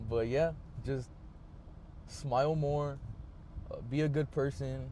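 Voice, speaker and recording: The voice is dark, mellow and somewhat breathy, with fairly even intonation. The pace is very slow. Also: man, fairly high pitch for a man. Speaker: vlogger. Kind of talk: casual monologue. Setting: in a car. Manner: halting, many filler words and pauses.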